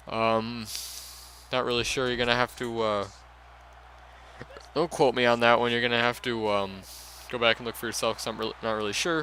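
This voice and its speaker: Noticeable background noise sits behind a man at a medium pitch with fairly even intonation. His pace is fairly quick, broken by long, frequent pauses. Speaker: gaming YouTuber. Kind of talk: video game commentary. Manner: stuttering; halting.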